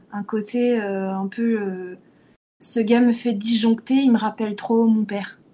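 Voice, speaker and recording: Her dark, mellow tone stays monotone and flat as this woman speaks at a fairly slow pace with a fairly high pitch. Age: 30s. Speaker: actress and podcast panelist. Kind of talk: casual chat.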